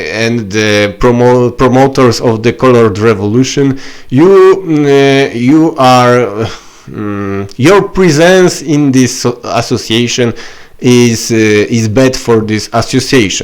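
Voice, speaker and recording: In a Polish accent, a man talks at a very slow pace and medium pitch with ordinary pitch variation, against noticeable background noise. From Poland. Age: 30s. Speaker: political activist vlogger. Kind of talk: political video message. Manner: halting, many fillers.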